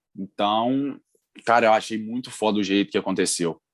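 A man speaks at a moderate pace. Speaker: football podcast co-host. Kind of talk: casual chat.

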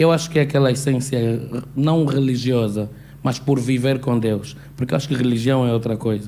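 Medium-pitched male speech at a moderate pace, with fairly even intonation, very even loudness and audible room echo. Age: young. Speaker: audience member. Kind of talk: audience question.

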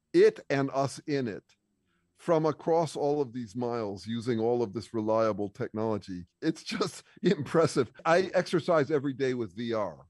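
A man's plain, everyday voice at medium pitch, moderately paced with lively intonation, in a dry, close sound with no echo. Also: quiet background. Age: 60s. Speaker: bass player and thinker. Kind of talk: casual chat. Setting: video call.

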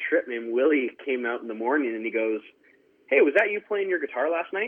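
A man is speaking at a medium pitch. His pitch variation is ordinary. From Canada, Surrey, British Columbia. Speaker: country singer. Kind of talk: interview. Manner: halting, filler-heavy.

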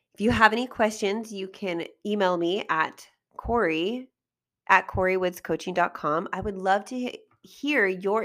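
A woman's plain, everyday voice, medium-pitched with lively intonation at a fairly slow pace, on a very clean recording with a silent background. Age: 40s. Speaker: life coach and podcast host. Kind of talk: solo podcast monologue.

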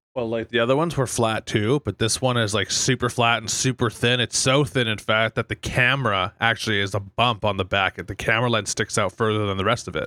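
In a very clean recording with a silent background and a dry, close sound with no echo, a man talks fairly quickly at a medium pitch with a bright, sharp tone, fairly even intonation and hardly any pauses. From Fort McMurray, Alberta, Canada. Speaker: podcast co-host. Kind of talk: casual chat.

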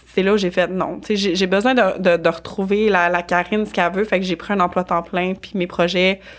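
A woman speaks at a moderate pace and medium pitch with hardly any pauses. Her intonation is monotone and flat. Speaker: business organization consultant. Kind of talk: casual interview. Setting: studio.

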